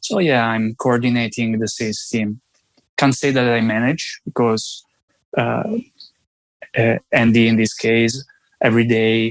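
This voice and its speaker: A man speaks with an Italian accent at a fairly slow pace, with long, frequent pauses and monotone, flat intonation. The sound is dry and close, with no echo. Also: medium pitch for a man. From Italy. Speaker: sales team coordinator. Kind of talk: interview. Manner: halting.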